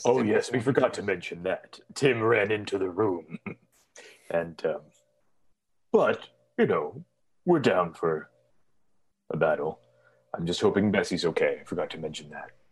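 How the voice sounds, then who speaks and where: A man talks in a put-on character voice, leaving long, frequent pauses. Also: medium pitch for a man, moderate pace. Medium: actual play. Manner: warm, rambling, cheerful.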